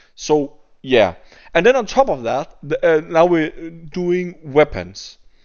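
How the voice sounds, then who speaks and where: Very slow and fairly high-pitched, a man with a Danish accent lets his pitch swing very widely. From Denmark. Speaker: gaming YouTuber. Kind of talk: gameplay commentary rant. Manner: halting, with repeated words.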